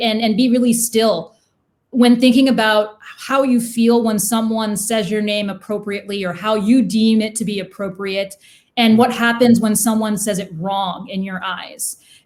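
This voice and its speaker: A woman speaks in a fairly high, somewhat breathy voice with ordinary pitch variation. The recording is very clean with a silent background. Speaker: podcast guest. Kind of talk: casual interview conversation. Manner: fast.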